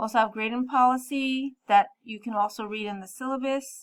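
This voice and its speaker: Her voice fairly high, a woman talks with ordinary pitch variation. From New York City. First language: French. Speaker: math teacher. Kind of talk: class introduction video.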